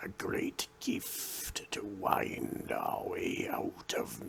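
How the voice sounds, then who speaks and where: A man whispers in a put-on character voice. His pace is very slow. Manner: sibilant whisper.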